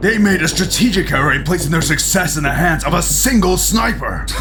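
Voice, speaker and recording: A man does a put-on character voice at a fairly quick pace over loud background noise. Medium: audio drama.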